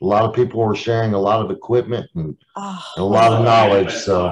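Light background noise sits behind the voice. A man talks at a fairly quick pace. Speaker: meeting host. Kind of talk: casual meeting chat. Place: home room. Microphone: earbuds.

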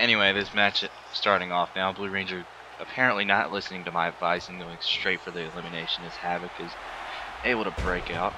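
Very deep and low in pitch, a man speaks at a very fast pace with big swings in loudness. Noticeable background noise is present. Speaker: gaming YouTuber. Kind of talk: gameplay commentary. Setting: home recording alone. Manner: casual, animated at moments.

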